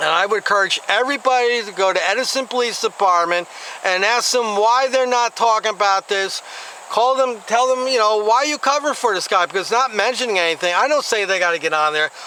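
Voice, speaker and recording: A man with an American accent speaks in a raised, projected voice at a fairly quick pace, with ordinary pitch variation and noticeable background noise. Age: 60s. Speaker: YouTube commentator. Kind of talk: vlog commentary. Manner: casual, halting with fillers.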